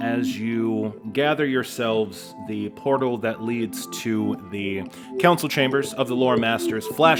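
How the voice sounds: Reading in a natural voice, pitch moving in an ordinary way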